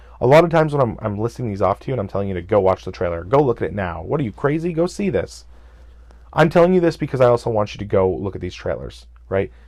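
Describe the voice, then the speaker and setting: Very fast talk from a man with a fairly low pitch, vocal fry and very wide pitch swings, over a quiet background. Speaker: gaming podcast host. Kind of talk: solo podcast recap. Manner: animated.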